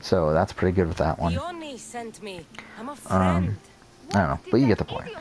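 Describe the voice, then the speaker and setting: Over noticeable background noise, a man with a very deep, low pitch speaks with ordinary pitch variation and long, frequent pauses. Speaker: gaming youtuber. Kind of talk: gameplay commentary. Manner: fast.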